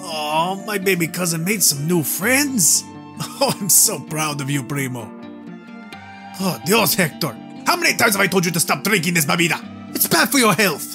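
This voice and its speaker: Clear music plays in the background. A man puts on a character voice at a high pitch. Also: moderate pace. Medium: voice reel. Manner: playful, teasing.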